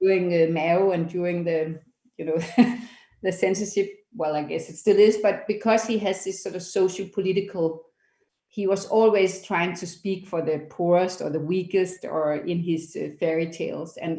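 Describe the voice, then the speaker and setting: With a Danish accent, a woman speaks at a moderate pace and medium pitch, her dark, mellow tone carried by fairly even intonation. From Denmark. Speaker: documentary foundation founder. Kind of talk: interview. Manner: halting.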